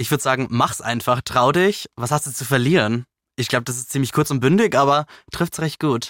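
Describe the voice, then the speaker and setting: In an ordinary speaking voice, a man talks at a fairly quick pace with medium pitch and ordinary pitch variation, the sound dry and close with no echo. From Lower Bavaria, village. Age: 20s. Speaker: news channel employee. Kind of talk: interview.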